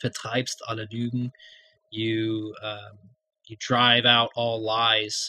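Very slow, monotone male speech in an American accent at a medium pitch, with flat intonation and long, frequent pauses. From United States. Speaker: podcast co-host. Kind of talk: casual discussion of song lyrics.

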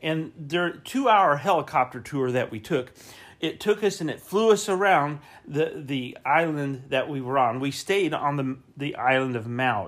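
Fairly high in pitch, a man with an American accent talks at a fairly slow pace with lively intonation. The recording is very clean, with a silent background. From US South, Florida (Winter Haven). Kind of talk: devotional sermon. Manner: repetitive, emphatic preaching.

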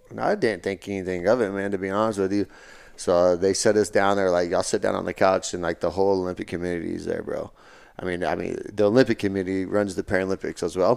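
A man with a Texan accent and a fairly low pitch, talking very fast in a monotone, flat delivery, on a very clean recording with a silent background. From West Texas. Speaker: Paralympic sprinter. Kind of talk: casual chat.

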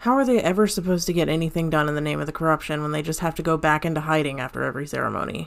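A woman speaks very fast in a very deep, low voice with vocal fry and ordinary pitch variation. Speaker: cult infiltrator character. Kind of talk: audio drama performance, scripted dramatic dialogue. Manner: hushed, intense, measured, conspiratorial, solemn.

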